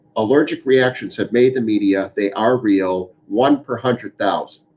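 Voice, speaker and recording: A man speaks at a medium pitch with ordinary pitch variation. It is an unremarkable speaking voice. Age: 60s. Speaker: physician. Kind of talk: town hall Q&A explanation.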